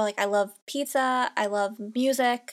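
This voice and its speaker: This woman speaks in an animated tone with lively intonation. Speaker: podcast host. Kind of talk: solo monologue. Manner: fast.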